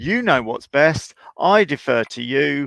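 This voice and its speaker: A man with an English accent, in dry, close sound with no echo. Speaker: horse trainer. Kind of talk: live Q&A call-in chat.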